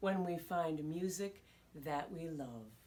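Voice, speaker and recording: A woman's put-on character voice, fairly low in pitch and fairly slow, with ordinary pitch variation. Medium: read story.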